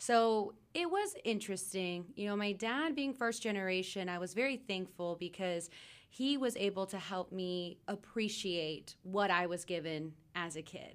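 With an ordinary speaking voice, a woman talks at a moderate pace. Her pitch is medium, with ordinary pitch variation. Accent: American. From Texas, Dallas area. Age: 20s. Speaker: TV news anchor. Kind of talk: casual interview.

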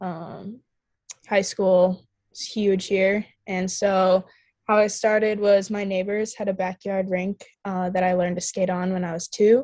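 A woman with an Upper Midwest accent speaks at medium pitch in a dark, mellow tone. Her delivery is fairly slow, with a monotone, flat intonation. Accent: Upper Midwest American. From Minnesota. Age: young. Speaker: college ice hockey player. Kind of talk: casual interview.

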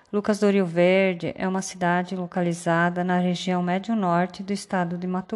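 A woman talks at a medium pitch and a moderate pace in a plain, everyday voice. The recording is very clean, with a silent background. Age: 40s. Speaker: teacher. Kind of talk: scripted narration.

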